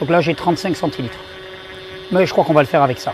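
Music plays in the background as a man talks at a very fast pace. His pitch is high, with ordinary variation. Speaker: naturopath / health video creator. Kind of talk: video tutorial. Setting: outdoors.

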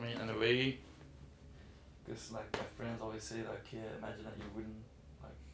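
Audible room echo surrounds speech that has ordinary pitch variation and long, frequent pauses. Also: man, medium pitch for a man, moderate pace. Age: 20s. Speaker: musician. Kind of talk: interview. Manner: halting.

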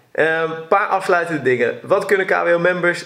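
Fairly quick male speech over noticeable background noise. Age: 30s. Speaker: podcast host. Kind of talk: podcast interview. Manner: hesitant, many fillers.

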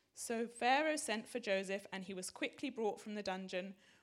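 A woman with a normal speaking voice talks at a fairly high pitch and a moderate pace, her intonation lively. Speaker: congregation member reading scripture. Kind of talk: reading aloud.

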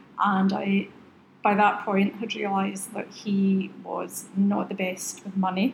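Over noticeable background noise, a woman of medium pitch speaks at a very slow pace in a monotone, flat intonation with a West Highland Scottish accent. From Oban, western Scotland. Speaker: aromatherapy business founder. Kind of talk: casual interview chat. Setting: in a shop.

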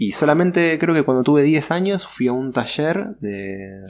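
Speaking at a fairly slow pace, a man with a Rioplatense accent lets his pitch swing very widely. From Buenos Aires, Argentina. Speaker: sign painter and artist. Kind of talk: interview.

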